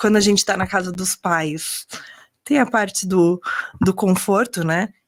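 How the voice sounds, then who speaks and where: Recorded very cleanly against a silent background, a woman speaks. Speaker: doctor. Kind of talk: interview.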